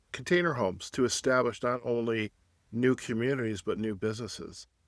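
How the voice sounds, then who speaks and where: In a very clean recording with a silent background and a dry, close sound with no echo, a man speaks at a moderate pace in a medium pitch with ordinary pitch variation. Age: 60s. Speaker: podcast host. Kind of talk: interview. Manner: halting.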